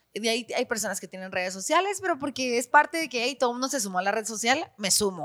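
Talking at a very fast pace with hardly any pauses, a woman uses a fairly high pitch and very wide pitch swings. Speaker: actress and radio presenter. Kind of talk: casual chat.

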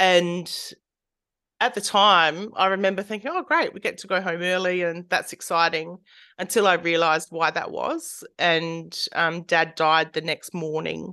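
This woman talks at a fairly slow pace in a fairly low pitch. Her tone is bright and sharp. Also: fairly even intonation, quiet background. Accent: Australian. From rural South Australia. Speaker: art therapist and counsellor. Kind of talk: interview conversation.

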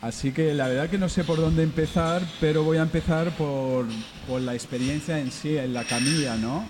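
Noticeable background noise accompanies a man speaking at a moderate pace. His fairly high voice shows ordinary pitch variation. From mixed Berber and Basque heritage. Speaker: musician and therapist. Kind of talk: casual radio interview. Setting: radio broadcast from a bar.

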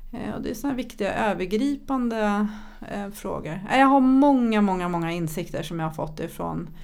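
A woman talks with lively intonation, and the room echo is audible. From Sweden, childhood partly in Thailand. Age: 50s. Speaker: entrepreneur and public speaker. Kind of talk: podcast interview. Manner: animated.

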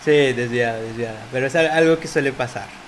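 Noticeable background noise runs under this recording. The man speaking uses ordinary pitch variation. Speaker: podcast host. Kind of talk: casual chat.

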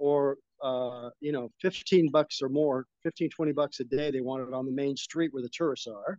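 He speaks at a fairly high pitch in an American accent, with a plain, everyday voice. The sound is dry and close, with no echo. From Las Vegas, US. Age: 60s. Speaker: retiree expat. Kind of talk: casual interview chat. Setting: outdoors by a pool, remote call.

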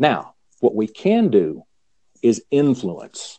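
A man with a Southern US accent speaks with very wide pitch swings. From US South. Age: 50s. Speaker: Zen teacher. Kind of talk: casual chat.

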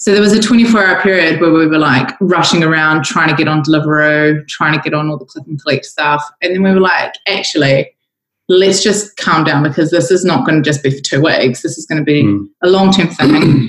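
Speaking with a New Zealand accent, a woman with a very deep, low pitch keeps a fairly quick pace with hardly any pauses. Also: ordinary pitch variation. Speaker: coffee company executive. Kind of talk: casual interview. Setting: conference call from home kitchen.

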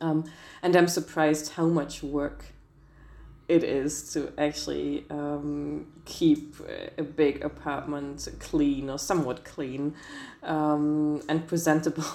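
Very slowly and in a very deep, low voice, a woman speaks with a German accent, a dark, mellow tone and monotone, flat intonation. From Germany. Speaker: lawyer and translator. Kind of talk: interview. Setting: video call. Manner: hesitant, frequent fillers.

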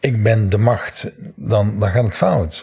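Over music in the background, a man speaks at a very slow pace in a fairly low pitch. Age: 60s. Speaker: NLP trainer. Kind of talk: interview.

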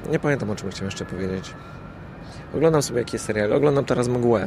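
A man's medium-pitched voice at a very fast pace, with noticeable background noise. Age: middle-aged. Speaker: podcaster. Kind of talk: casual monologue. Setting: outdoors on a rooftop. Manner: halting.

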